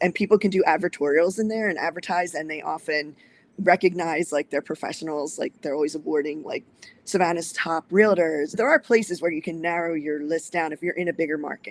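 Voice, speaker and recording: Talking at a fairly quick pace, a woman with a fairly low pitch keeps her intonation fairly even in a dry, close sound with no echo. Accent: Philadelphia. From New Jersey, outside Philadelphia. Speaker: short-term rental investor. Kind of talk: interview.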